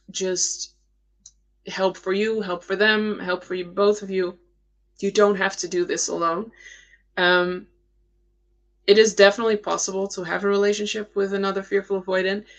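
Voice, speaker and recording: Speaking in a Dutch accent, a woman with a medium pitch keeps a moderate pace and a monotone, flat intonation, leaving long, frequent pauses over a quiet background. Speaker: attachment style coach. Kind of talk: live Q&A stream. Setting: live stream. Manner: hesitant, many fillers.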